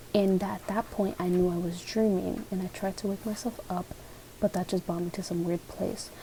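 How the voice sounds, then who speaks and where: A soft-spoken woman at a moderate pace, with monotone, flat intonation. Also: medium pitch for a woman. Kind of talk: ASMR dream reading, soft-spoken storytelling. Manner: soft-spoken, chatty, casual.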